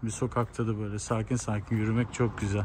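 A man's voice in monotone, flat intonation, with light background noise. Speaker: travel vlogger. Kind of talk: casual vlog chat. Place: street. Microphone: phone near.

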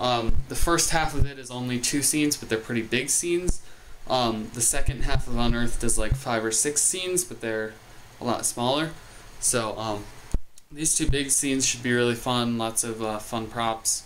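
Noticeable noise sits in the background as a man speaks at a moderate pace, his pitch varying in an ordinary way. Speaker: vlogger. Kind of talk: casual vlog chat. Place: home room. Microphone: phone near.

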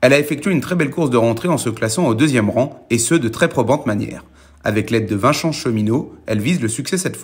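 A man at medium pitch talks at a fairly quick clip, somewhat breathy, with lively intonation. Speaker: racing tipster. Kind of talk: scripted horse-racing tips read out in a steady presenter style. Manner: brisk, even and businesslike, running through the horses one by one.

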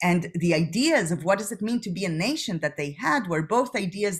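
A woman with an Israeli accent, somewhat breathy, speaking at a fairly quick pace against a quiet background. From Israel, Jerusalem. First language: Hebrew. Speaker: PhD student and discussion leader. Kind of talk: lecture. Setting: video call. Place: home room. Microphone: webcam.

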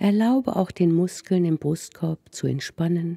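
A woman's very slow, somewhat breathy voice, fairly low in pitch, with a dark, mellow, soothing and calm tone, lively intonation, and a dry, close sound with no echo. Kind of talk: guided meditation. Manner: soft, slow, soothing, calm and gentle.

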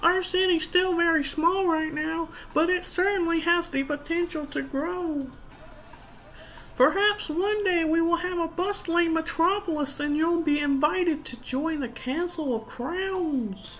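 A female-sounding, put-on character voice hits an extremely high pitch. The pace is moderate, with clear background noise.

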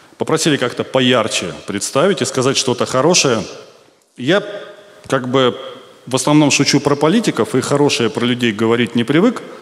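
This man speaks at a moderate pace with lively intonation, broken by long, frequent pauses. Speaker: stand-up comedian. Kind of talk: satirical stand-up monologue. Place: stage. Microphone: handheld.

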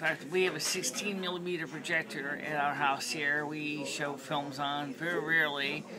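Moderate pace with hardly any pauses, over noticeable background noise. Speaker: vlogger. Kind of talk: casual vlog chat. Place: hall. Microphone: webcam.

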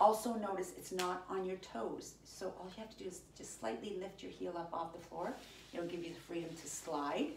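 A woman with a fairly low pitch and ordinary pitch variation talks at a fairly quick pace, with audible room echo and light background noise. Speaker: fitness instructor. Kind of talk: workout instruction. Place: home room. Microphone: camera far.

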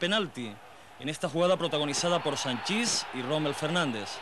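A man's fairly quick speech with lively intonation over noticeable background noise. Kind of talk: 1990 football highlights narration. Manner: formal, brisk, measured newsreel-style delivery.

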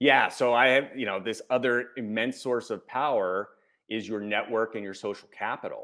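With an American accent, a man speaks at a moderate pace with fairly even intonation over a quiet background. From United States. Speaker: executive coach and author; executive coach. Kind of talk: interview. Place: home room. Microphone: earbuds.

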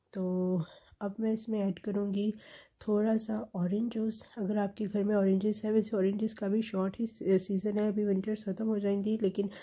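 In a dark, mellow tone that is somewhat breathy, a woman speaks at medium pitch with monotone, flat intonation. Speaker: lifestyle vlogger. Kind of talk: vlog voice-over narration.

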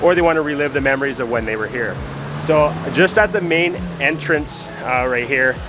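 A man at a moderate pace, with ordinary pitch variation and noticeable background noise. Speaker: travel vlogger. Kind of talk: casual vlog chat. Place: street. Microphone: phone near.

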